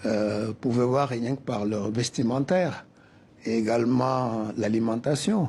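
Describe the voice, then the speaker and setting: With a West African accent, a man talks at a very slow pace and medium pitch, his dark, mellow tone carrying fairly even intonation. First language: Soninke (speaking French). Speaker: cultural association president. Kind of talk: TV interview.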